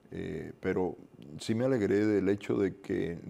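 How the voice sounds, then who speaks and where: Very slowly, a man speaks in a very deep, low voice with a dark, mellow tone. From Cuba. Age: 60s. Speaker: Cuban exile activist; interview guest. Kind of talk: interview. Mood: earnest, reflective. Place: studio. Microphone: lapel.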